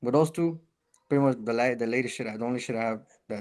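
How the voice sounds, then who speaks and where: At a fairly quick pace, a man with a medium-pitched voice speaks in a Spanish accent. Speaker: rapper and taco business owner. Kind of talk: casual chat.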